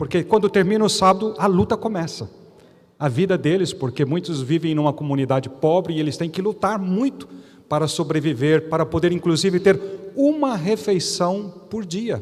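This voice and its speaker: Lively intonation marks a man's high-pitched speech at a moderate pace. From Brazil. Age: 60s. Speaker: pastor. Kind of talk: sermon. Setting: church.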